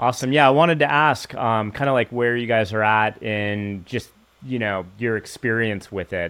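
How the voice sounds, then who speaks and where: A man with an unremarkable speaking voice, ordinary pitch variation, and a moderate pace. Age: 50s. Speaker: podcast host. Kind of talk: interview.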